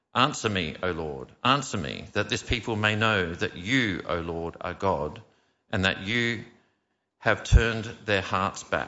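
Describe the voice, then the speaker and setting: Speaking in an ordinary speaking voice, a man uses a fairly low pitch and lively intonation. He goes at a fairly slow pace. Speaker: scripture reader. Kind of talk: scripture reading. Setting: church.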